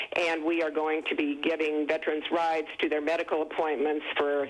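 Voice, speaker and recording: A woman speaks in a very deep, low voice with a flat, monotone delivery over noticeable background noise. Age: 70s. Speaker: caller, nonprofit director. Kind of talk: call-in comment on TV talk show.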